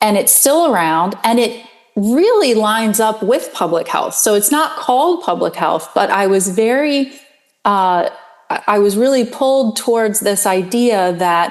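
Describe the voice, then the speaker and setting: A woman with an American accent speaks at a fairly slow pace in a fairly high pitch. Her intonation is lively and her loudness very even. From Pennsylvania. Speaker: public health professor. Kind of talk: interview. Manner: halting, many ums.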